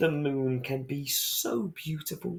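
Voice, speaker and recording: A man's put-on character voice, fairly high in pitch, with fairly even intonation and a fairly slow pace. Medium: read story.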